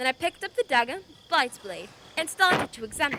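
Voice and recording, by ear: A woman's put-on character voice, high-pitched, bright and sharp, with big pitch swings at a fairly quick pace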